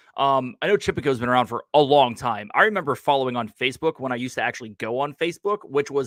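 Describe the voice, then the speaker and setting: With a normal speaking voice, a man uses a fairly high pitch and lively intonation in a very clean recording with a silent background and a dry, close sound with no echo. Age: 40s. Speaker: podcast host. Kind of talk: casual chat. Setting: live stream.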